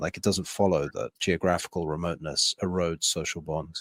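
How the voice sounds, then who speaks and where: A man with an English accent at a moderate pace, dry and close with no echo, on a very clean recording with a silent background. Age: 30s. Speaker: podcast host. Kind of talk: casual interview chat.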